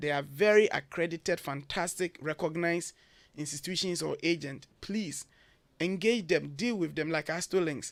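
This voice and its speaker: A man speaks with a Ghanaian accent in a high voice with ordinary pitch variation. The recording is very clean, with a silent background. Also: moderate pace. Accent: typical Ghanaian. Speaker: education consultant. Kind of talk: radio interview.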